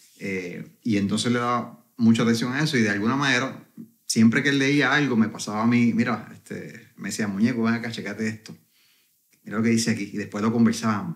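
A man with a plain, everyday voice speaks fairly quickly at medium pitch with fairly even intonation. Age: 40s. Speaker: network marketing entrepreneur. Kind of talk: interview conversation.

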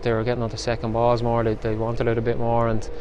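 A man speaks at medium pitch and a very fast pace. The sound is dry with no echo, and there is light background noise. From Ireland. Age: 30s. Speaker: professional footballer. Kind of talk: post-match interview. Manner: halting, with repetitions. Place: stadium. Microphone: phone near.

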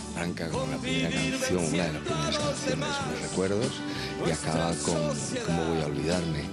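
Loud music plays in the background. Over it, a man talks at a fairly quick pace. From Asturias, Spain. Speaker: singer-songwriter. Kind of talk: interview answer. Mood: warm, pleased. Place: hall. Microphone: handheld.

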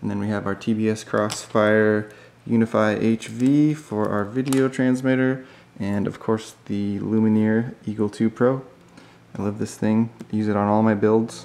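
In a fairly low voice, a man speaks at a fairly slow pace with monotone, flat intonation. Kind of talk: casual vlog chat. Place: workshop. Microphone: phone near.

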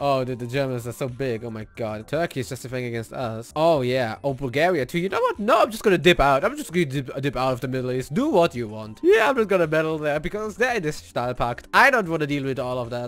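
A man rattles along at a very fast pace with lively intonation and hardly any pauses. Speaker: gaming video creator. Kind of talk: casual gameplay commentary. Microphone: studio mic.

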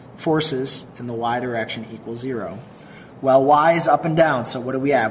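Speech moves at a fairly slow pace over light background noise. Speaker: teacher explaining truss problem. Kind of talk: tutorial.

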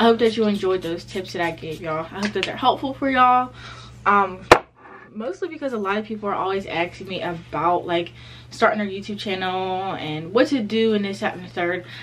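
At a moderate pace, a woman speaks with ordinary pitch variation against light background noise. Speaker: vlogger. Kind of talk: casual vlog chat. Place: home room. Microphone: phone near.

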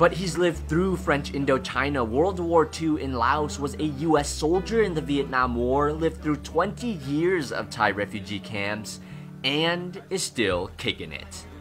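Music plays behind a man of medium pitch whose voice swings very widely in pitch as he talks at a fairly slow pace with hardly any pauses. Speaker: travel vlogger. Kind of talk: personal documentary voice-over narration.

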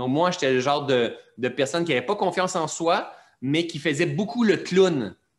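A man talks at a moderate pace with lively intonation. It is a plain, everyday voice. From Quebec. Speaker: mentor and personal development teacher. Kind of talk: interview, reflective teaching. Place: home room. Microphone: video call.

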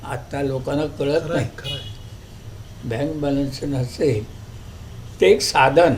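Fairly high in pitch, a man talks with fairly even intonation. Audible room echo and noticeable background noise are present. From Kolhapur district, Maharashtra. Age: 80s+. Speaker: retired schoolteacher. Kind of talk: interview.

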